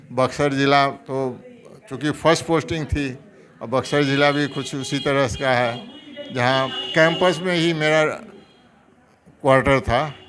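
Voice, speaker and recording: Over noticeable background noise, the speaker keeps a fairly even intonation and takes long, frequent pauses. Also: man, fairly high pitch for a man. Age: 70s. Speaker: retired government doctor. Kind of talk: interview.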